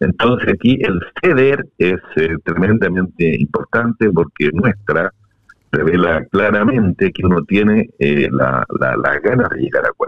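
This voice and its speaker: This man has a fairly low pitch with very wide pitch swings. His pace is fairly slow. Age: old. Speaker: constitutional convention delegate. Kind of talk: interview.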